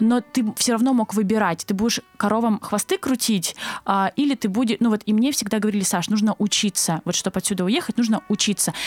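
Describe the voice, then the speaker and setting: A fairly high-pitched woman at a fairly quick pace, with ordinary pitch variation and very even loudness, in a dry, close sound with no echo, over noticeable background noise. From southern Russia, Krasnodar Krai. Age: 20s. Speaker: agency co-founder. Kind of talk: interview.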